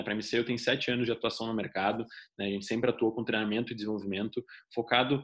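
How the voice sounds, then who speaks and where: A man with a southern Brazilian accent speaks at a very fast pace, his intonation fairly even. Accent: gaúcho (southern Brazilian). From southern Brazil (Rio Grande do Sul). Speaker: leadership trainer. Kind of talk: online course lecture. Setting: recorded online class.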